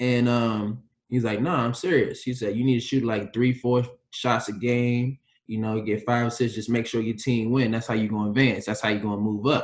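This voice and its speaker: A man delivers his words fairly quickly, medium-pitched and in a monotone, flat intonation. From US Mid-Atlantic, PG County, Maryland. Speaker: former pro basketball player. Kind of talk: casual chat. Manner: laid-back, conversational.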